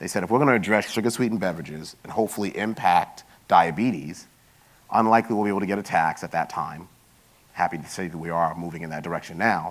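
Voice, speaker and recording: Very deep and low in pitch, a man talks at a very fast pace with big swings in loudness and ordinary pitch variation. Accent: New York. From New York, Queens. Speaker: health industry consultant and bioethicist. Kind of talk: conference talk.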